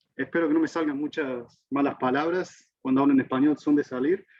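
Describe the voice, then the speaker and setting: A man speaks with an Argentine accent. His intonation stays fairly even. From Argentina. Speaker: physics professor. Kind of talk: lecture. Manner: halting.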